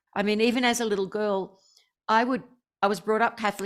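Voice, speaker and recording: On a very clean recording with a silent background, a woman with an Australian accent talks fairly quickly at medium pitch with ordinary pitch variation. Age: 60s. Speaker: spiritual teacher. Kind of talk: interview.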